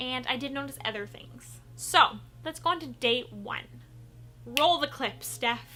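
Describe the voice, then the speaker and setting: Over noticeable background noise, a woman speaks in an animated tone at a fairly slow pace, her loudness swinging widely. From Canada. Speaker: beauty vlogger. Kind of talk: product review.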